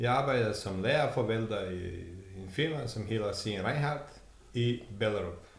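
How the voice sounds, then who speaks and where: A man's somewhat breathy voice at medium pitch, fairly slow in pace, with ordinary pitch variation and audible room echo. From Montenegro. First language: Serbo-Croatian (Montenegrin) (speaking Danish). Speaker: warehouse worker. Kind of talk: casual interview.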